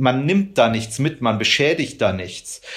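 A man with an unremarkable speaking voice, medium pitch and moderate pace. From rural Germany. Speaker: animal rights activist. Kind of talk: interview.

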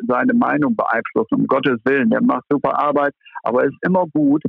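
A man talks at a moderate pace. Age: 60s. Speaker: former football club manager. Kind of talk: podcast discussion. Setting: phone call. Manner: calm.

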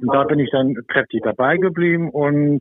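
With pitch moving in the usual way, a man talks in a fairly high voice. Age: 60s. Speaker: football referee. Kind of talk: casual interview. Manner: hesitant, many fillers.

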